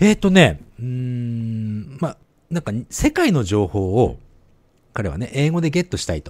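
Very wide pitch swings from a man, on a very clean recording with a silent background. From Japan. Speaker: podcast co-host. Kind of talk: casual chat.

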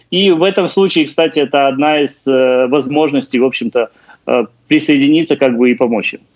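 Against a quiet background, a man with an unremarkable speaking voice talks at a fairly quick pace, his fairly high pitch showing ordinary variation. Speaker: housing and utilities expert. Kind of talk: live remote interview. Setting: remote live link. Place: home room. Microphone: video call.

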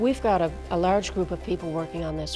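A woman talks over clear music playing in the background. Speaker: agricultural scientist. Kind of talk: interview answer. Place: studio.

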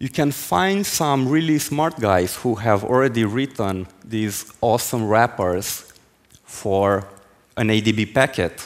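Lively intonation marks a man's speech at a very slow pace. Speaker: conference speaker. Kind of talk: technical talk. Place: stage. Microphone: headset.

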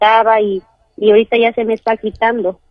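At a moderate pace, the talk comes in an unremarkable speaking voice. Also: woman. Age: 30s. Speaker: caller. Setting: phone call.

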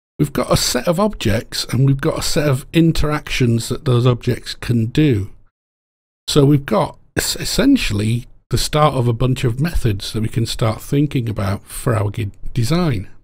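A man's somewhat breathy, medium-pitched voice with ordinary pitch variation at a moderate pace. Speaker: game programmer. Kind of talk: tutorial lecture.

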